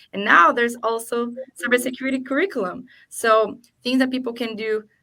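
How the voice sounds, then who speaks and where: Speaking at a moderate pace in a non-native accent, a woman has a bright, sharp tone and ordinary pitch variation. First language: not English. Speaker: cybersecurity awareness program lead. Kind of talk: panel discussion.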